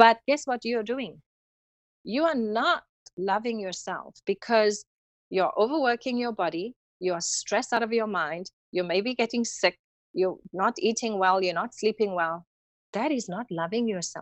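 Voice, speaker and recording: A woman with a South African accent speaks at a moderate pace with a fairly high pitch and lively intonation, the sound dry and close with no echo against a quiet background. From South Africa, Cape Town. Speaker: holistic healing practitioner and yoga instructor. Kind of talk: interview conversation. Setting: podcast.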